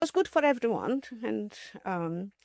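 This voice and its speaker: A woman speaks with lively intonation. The recording is very clean, dry and close, with a silent background and no echo. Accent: non-native. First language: not English. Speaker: mathematician. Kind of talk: interview storytelling. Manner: halting, many fillers and restarts.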